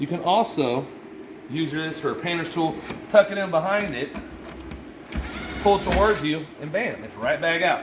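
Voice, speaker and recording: This man has a high pitch and ordinary pitch variation. Audible room echo and noticeable background noise sit around his voice. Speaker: restoration contractor. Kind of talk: tutorial. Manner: fast; casual.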